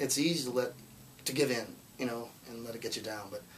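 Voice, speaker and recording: A speaker with a Southern US accent talks at a fairly quick pace. Audible room echo and noticeable background noise are present. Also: man. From Alabama, Muscle Shoals. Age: 20s. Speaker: singer-songwriter. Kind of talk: interview. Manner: halting, many false starts.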